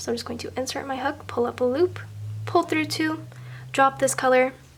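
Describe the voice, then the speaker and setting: A woman speaks at a moderate pace as noticeable background noise carries on behind her. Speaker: crochet tutorial maker. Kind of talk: tutorial. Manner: step-by-step instructional.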